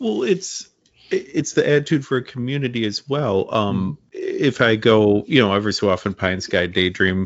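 Here a man has an unremarkable speaking voice pitched in the medium range. He keeps a moderate pace with lively intonation. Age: 40s. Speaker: comic book podcast host. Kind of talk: casual interview chat.

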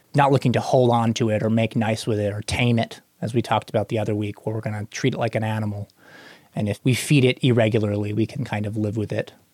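A man talks at a very fast pace and a medium pitch. The recording is very clean with a silent background and a dry, close sound with no echo. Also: fairly even intonation. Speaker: co-host. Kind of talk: casual chat, Bible discussion. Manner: talkative, repeats filler words.

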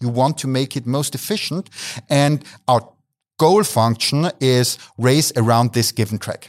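A man talks in a German accent. The recording is very clean with a silent background, and the sound is dry and close with no echo. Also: medium pitch for a man, ordinary pitch variation, fairly slow pace. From Austria, Graz. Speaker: motorsport business director, mathematician. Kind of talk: interview.

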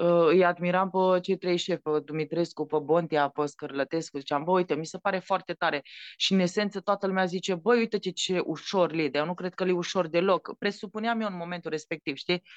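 Against a quiet background, a woman speaks fairly quickly in a fairly low pitch with a Transylvanian accent. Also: dry, close sound with no echo. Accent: Transylvanian Romanian. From Romania, Maramureș (Baia Mare). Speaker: chef and TV cooking show judge. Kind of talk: casual interview. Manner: animated.

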